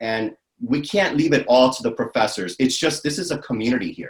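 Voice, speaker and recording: The talking proceeds at a moderate pace. Its pitch rises and falls in an ordinary way. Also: man. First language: not English. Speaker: academic advisor and veteran. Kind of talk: interview.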